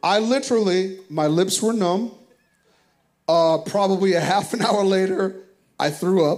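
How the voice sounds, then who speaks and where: In an animated tone with an American accent, a man speaks at a high pitch and a fairly slow pace, with ordinary pitch variation, very even loudness and long, frequent pauses. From US South. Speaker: pastor. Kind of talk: sermon. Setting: church.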